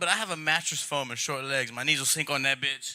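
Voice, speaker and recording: Very fast talking from a man, noticeable background noise behind him. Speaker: stand-up comedian. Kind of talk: stand-up. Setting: stage with audience.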